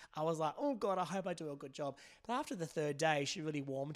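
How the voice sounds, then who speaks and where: Here a man speaks at a very fast pace. He has an Australian accent and ordinary pitch variation. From Perth, Western Australia. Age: 30s. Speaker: makeup artist. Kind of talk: casual chat.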